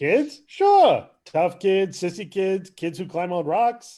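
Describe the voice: A man puts on a character voice, slow and high-pitched, with a dark, mellow tone and big pitch swings.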